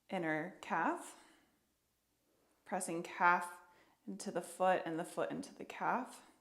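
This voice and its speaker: Slow-paced and fairly even in intonation, a woman speaks at a medium pitch with audible room echo. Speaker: yoga therapist. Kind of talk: tutorial.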